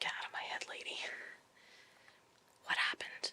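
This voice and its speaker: A woman whispering. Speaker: paranormal investigator and psychic medium. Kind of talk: ghost hunting investigation session.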